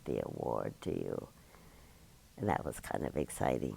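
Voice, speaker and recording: A man's dark, mellow tone with vocal fry, at a moderate pace. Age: 90s. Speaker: oral history interviewee. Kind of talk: oral history interview.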